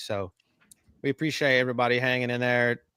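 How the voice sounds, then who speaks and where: This man has a strong Southern US accent and a medium pitch. He talks at a moderate pace, and the sound is dry and close with no echo. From US South. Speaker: podcast host. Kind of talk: casual chat. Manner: animated.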